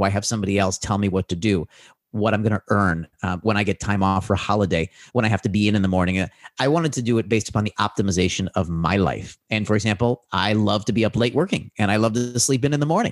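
On a very clean recording with a silent background and a dry, close sound with no echo, a man speaks very fast at a fairly low pitch, with ordinary pitch variation and very even loudness. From US Midwest, Chicago. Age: 40s. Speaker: business mentor and author. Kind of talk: interview conversation.

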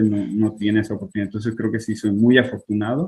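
A man's voice at a medium pitch. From Mexico, Culiacán and Tijuana. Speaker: IT worker abroad. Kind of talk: casual interview.

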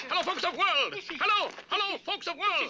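The speaker uses a put-on character voice with an extremely high pitch. Background noise is clearly audible. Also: moderate pace. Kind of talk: formal. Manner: grandly announcing.

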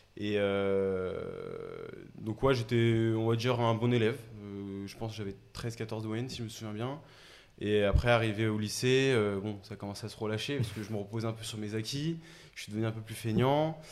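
Audible room echo surrounds a man speaking at a medium pitch and a moderate pace with fairly even intonation. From Paris region, Essonne. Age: 20s. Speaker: startup co-founder. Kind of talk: casual interview chat.

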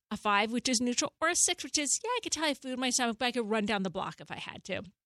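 A woman talks at a high pitch with ordinary pitch variation. The sound is dry and close with no echo, on a very clean recording with a silent background. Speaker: therapist and author. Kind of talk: advice conversation. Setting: studio.

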